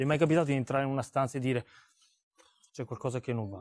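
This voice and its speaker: A man speaks in an animated tone against a quiet background. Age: 40s. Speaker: seminar speaker; speaker. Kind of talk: seminar talk. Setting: stage with audience. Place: hall. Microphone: lapel.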